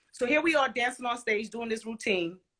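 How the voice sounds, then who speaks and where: The speaker uses an animated, bright, sharp tone with an American accent. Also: woman. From Brooklyn, New York (Flatbush). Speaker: dancer. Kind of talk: interview, casual chat.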